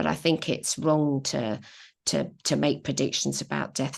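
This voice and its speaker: At a moderate pace, the speech sits over a quiet background. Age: 60s. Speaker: astrologer. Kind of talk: panel discussion.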